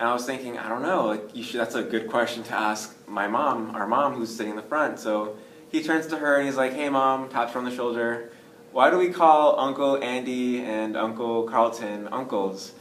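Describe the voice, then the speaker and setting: A man speaks at a medium pitch with an American accent, moderate pace and ordinary pitch variation. Audible room echo and noticeable background noise surround him. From US, New York (Bronx). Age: 20s. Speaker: adoptee interviewee, student. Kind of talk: casual interview.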